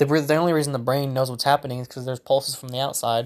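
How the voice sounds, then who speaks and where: With a Southern US accent, a man speaks at a medium pitch in a monotone, flat way. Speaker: solo podcaster. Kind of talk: solo monologue, casual ramble on politics. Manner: casual, rambling, hesitant with fillers.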